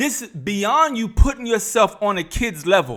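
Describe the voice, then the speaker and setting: A man speaks at a fairly slow pace in a raised, projected voice, his pitch high and his tone bright and sharp. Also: very clean recording, silent background. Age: 50s. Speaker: YouTube reaction commentator. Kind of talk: reaction commentary. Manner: animated.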